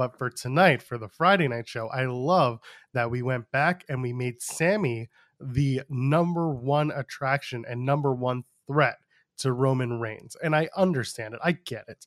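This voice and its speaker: A man speaks at a fairly slow pace with a medium pitch and ordinary pitch variation, in an unremarkable speaking voice. The recording is very clean with a silent background and a dry, close sound with no echo. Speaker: podcast host, wrestling commentator. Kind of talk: casual chat.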